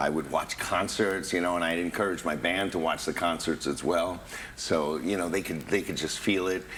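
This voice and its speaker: Against noticeable background noise, a man with a very deep, low pitch and an American accent speaks at a moderate pace in a monotone, flat intonation. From New York. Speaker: tribute performer and actor. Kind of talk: TV interview. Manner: halting.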